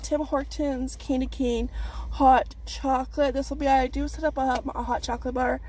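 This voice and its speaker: A woman talks at a moderate pace, her voice dry with no echo. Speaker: haul vlogger. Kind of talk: casual vlog chat. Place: car. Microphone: phone near.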